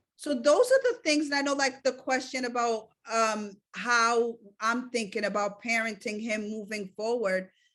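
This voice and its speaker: A woman speaks with a non-native accent at a moderate pace. Her pitch is fairly high, and the background is quiet. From Cape Verdean community. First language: not English. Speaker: mother and caregiver of a child with sickle cell. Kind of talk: podcast interview. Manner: animated.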